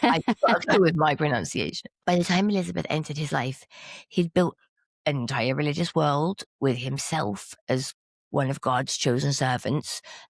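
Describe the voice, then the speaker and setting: The speaker talks at a moderate pace. They have an English accent. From England. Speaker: podcast host. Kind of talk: casual chat.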